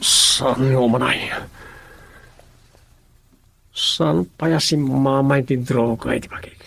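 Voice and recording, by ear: A man's put-on character voice, slow and fairly bright, at a medium pitch with ordinary variation, vocal fry and a slightly husky edge.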